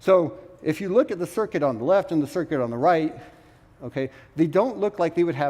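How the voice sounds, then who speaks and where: A man with a fairly high pitch and a dark, mellow tone talks at a fairly quick pace, broken by long, frequent pauses. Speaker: conference speaker, quantum computing researcher. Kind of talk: conference presentation. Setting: stage with audience. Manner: frequent filler 'okay' and hesitations.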